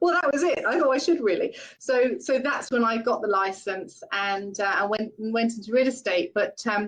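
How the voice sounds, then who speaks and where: Speaking at a moderate pace with hardly any pauses, a woman with a British accent uses lively intonation. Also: fairly high pitch for a woman. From UK. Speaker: real estate branch manager. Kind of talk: webinar interview.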